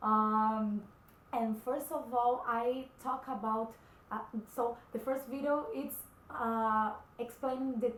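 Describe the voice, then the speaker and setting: Speaking at a very slow pace with fairly even intonation, a woman's high-pitched voice carries audible room echo. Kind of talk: personal testimony vlog. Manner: halting, many fillers.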